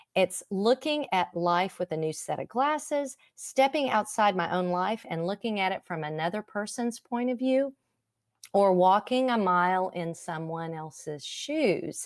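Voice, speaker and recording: Speaking at a fairly slow pace, a woman with a medium pitch uses lively intonation in a dry, close sound with no echo. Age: 60s. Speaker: counselor and recovery speaker. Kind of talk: online talk. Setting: live stream from home.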